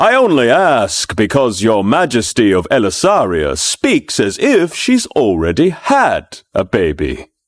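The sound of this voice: The voice is heard reading aloud. It is an unforced reading voice.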